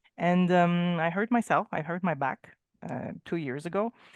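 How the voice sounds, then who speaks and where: The speaker talks at a moderate pace with ordinary pitch variation. The sound is dry and close with no echo, and the background is quiet. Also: woman. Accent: French Canadian. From Quebec, Canada. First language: French. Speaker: painting trade teacher. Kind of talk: casual chat. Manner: halting.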